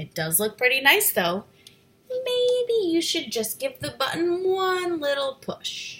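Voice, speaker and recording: A woman's put-on character voice, extremely high in pitch and at a fairly slow pace. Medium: read story. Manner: playful, chatty.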